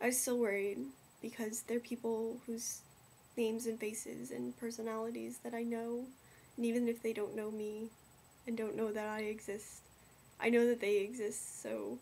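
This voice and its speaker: A dark, mellow tone carries monotone, flat intonation at a moderate pace with long, frequent pauses. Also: woman. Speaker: vlogger. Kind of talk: casual vlog chat. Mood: somber, concerned. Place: home room. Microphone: webcam.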